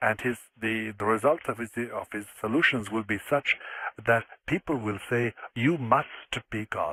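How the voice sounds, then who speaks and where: A man with an Irish accent and a bright, sharp tone speaks at medium pitch with ordinary pitch variation, in a very clean recording with a silent background. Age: 70s. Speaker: former exorcist and author. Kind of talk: radio interview.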